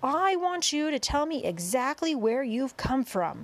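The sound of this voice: A woman does a put-on character voice, high-pitched with big pitch swings. She goes at a fairly slow pace.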